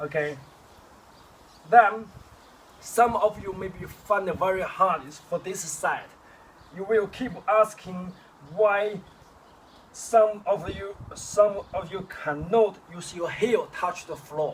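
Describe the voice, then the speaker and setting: A man's high-pitched, very slow speech with long, frequent pauses, over noticeable background noise. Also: ordinary pitch variation. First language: Chinese. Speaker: kung fu teacher. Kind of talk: tutorial. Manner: halting.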